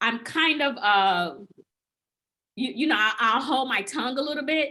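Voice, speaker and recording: A woman's raised, projected voice, high in pitch, at a moderate pace with lively intonation. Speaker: group discussion participant. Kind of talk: casual chat. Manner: halting, many repetitions.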